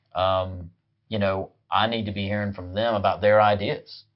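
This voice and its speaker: Speaking in a Southern US accent, a man with a fairly low pitch talks at a moderate pace with monotone, flat intonation. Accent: Southern US (Georgia). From US South, rural west Georgia. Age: 40s. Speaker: political party chair. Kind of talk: interview. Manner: halting, many fillers.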